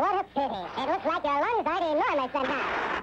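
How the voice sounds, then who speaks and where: A high, put-on character voice moves at a fairly quick pace over clear background noise. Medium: short film.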